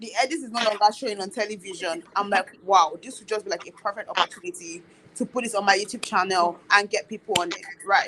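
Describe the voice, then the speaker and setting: An animated, bright and sharp voice comes through in a Nigerian accent at a fairly quick pace. Pitch variation is ordinary. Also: woman. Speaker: YouTuber. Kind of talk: casual chat. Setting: live stream.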